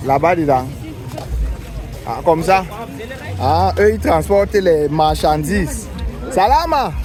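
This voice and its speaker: With music in the background and audible room echo, a man speaks in a Cameroonian accent at a very slow pace with long, frequent pauses. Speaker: travel vlogger. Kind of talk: vlog walking tour. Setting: outdoors, street market.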